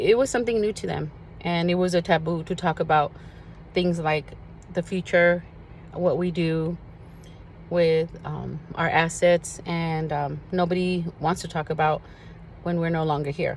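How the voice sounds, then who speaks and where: Speaking fairly slowly with a Spanish accent, a woman uses a fairly low pitch and fairly even intonation, with long, frequent pauses. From US, Spanish-speaking immigrant family. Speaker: social media vlogger. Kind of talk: personal address to viewers. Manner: earnest, some hesitation.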